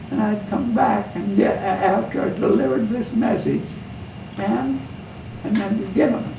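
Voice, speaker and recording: Against noticeable background noise, a man's voice moves through very wide pitch swings. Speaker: war veteran. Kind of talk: interview answer.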